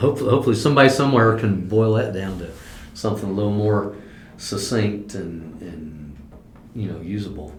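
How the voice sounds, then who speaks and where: A man with a Midwestern American accent talks at a fairly quick pace in a fairly low pitch, with ordinary pitch variation, big swings in loudness and audible room echo. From US Midwest (southwest Ohio). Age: 60s. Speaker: farmer. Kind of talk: oral history interview. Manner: hesitant, with many fillers and repeats.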